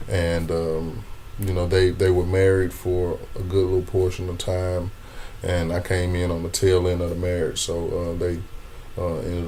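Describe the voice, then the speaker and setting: Speech moves at a moderate pace in a monotone, flat intonation. Noticeable background noise and audible room echo are present. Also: man. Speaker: comedian. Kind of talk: interview conversation. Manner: stammering repetitions.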